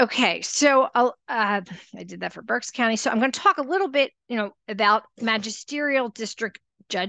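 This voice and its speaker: A woman's bright, sharp, fairly high voice with vocal fry, lively intonation, and an American accent, in a dry, close sound with no echo. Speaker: court reform advocate presenter. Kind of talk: presentation. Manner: halting.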